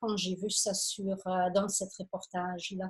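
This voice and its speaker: Somewhat breathy and in a non-native accent, the speaker talks at a very slow pace. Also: woman. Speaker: photographer and travel speaker. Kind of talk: illustrated lecture. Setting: conference with audience. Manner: halting, many fillers.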